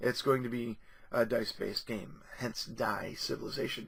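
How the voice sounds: A man speaks in a raspy, hoarse put-on character voice at a moderate pace and a medium pitch.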